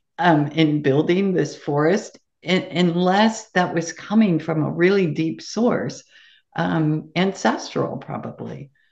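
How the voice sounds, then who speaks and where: Speaking at a very slow pace, a woman with an American accent shows vocal fry. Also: fairly low pitch for a woman, ordinary pitch variation. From US West, California Sacramento Valley. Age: 60s. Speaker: gemmotherapist and forest project founder. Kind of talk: interview conversation.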